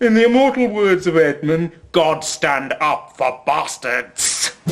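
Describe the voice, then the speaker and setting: A man's put-on character voice, high-pitched, at a fairly slow pace. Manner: taunting, aggressive.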